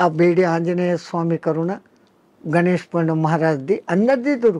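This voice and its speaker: The man's voice is high in pitch with a dark, mellow tone and ordinary pitch variation. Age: 80s+. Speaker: spiritual teacher, swami. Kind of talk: interview answer.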